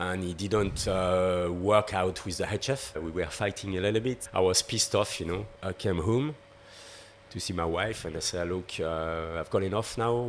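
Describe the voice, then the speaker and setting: With a French accent, a man speaks at a very deep, low pitch. His pace is moderate and his pitch variation ordinary. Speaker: pastry chef. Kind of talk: podcast interview. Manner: halting.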